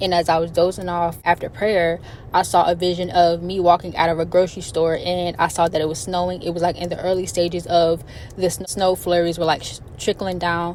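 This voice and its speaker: Over noticeable background noise, a woman speaks at a fairly quick pace in a flat monotone with a fairly low pitch. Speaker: prophetic word minister. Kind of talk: spoken devotional message. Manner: fast.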